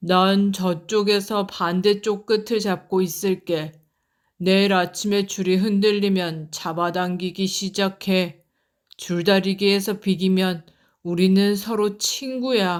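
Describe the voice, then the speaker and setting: At a fairly slow pace, a woman does a put-on character voice at a medium pitch, recorded very cleanly against a silent background. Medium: read story. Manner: cocky, playful.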